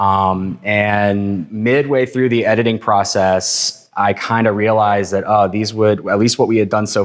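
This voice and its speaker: In a fairly low, monotone, flat voice, a man speaks at a fairly slow pace. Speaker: filmmaker and artist presenting a project. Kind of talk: public talk to an audience. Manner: casual, hesitant with many fillers.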